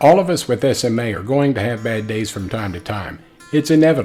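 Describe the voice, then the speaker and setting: There is music in the background as a man speaks with lively intonation. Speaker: person living with spinal muscular atrophy. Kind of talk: vlog talk to camera.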